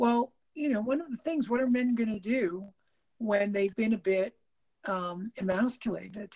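Somewhat breathy and dark, mellow in tone, a woman speaks at a moderate pace with a fairly high pitch and ordinary pitch variation in a dry, close sound with no echo. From Quebec, Canada. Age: 50s. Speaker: podcast co-host. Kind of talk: casual chat. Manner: halting.

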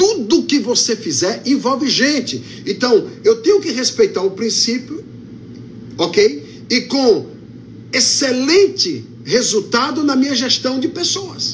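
A man at an extremely high pitch, speaking at a very slow pace with very wide pitch swings, amid noticeable background noise. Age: 50s. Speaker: pastor. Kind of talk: sermon.

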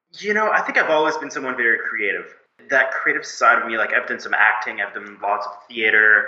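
Talking at a fairly quick pace, a man's voice carries audible room echo. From Canada, Moncton, New Brunswick. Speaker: agency founder and CEO. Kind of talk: interview.

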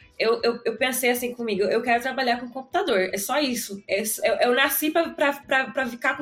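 Against noticeable background noise, a woman speaks at a moderate pace in a high pitch with ordinary pitch variation. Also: hardly any pauses. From Brazil, Osasco (São Paulo area). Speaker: database administrator and podcaster. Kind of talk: casual interview chat.

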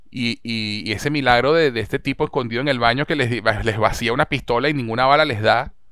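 A man speaks in a normal speaking voice at a medium pitch. His intonation is fairly even, and he talks at a fairly quick pace with hardly any pauses. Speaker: podcast host. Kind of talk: casual chat.

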